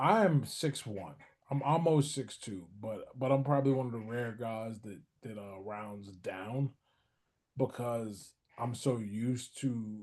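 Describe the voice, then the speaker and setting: A man speaks in an ordinary speaking voice at a medium pitch, with ordinary pitch variation and big swings in loudness. His pace is fairly slow, against a quiet background. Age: 40s. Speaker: boxer and author. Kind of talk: interview.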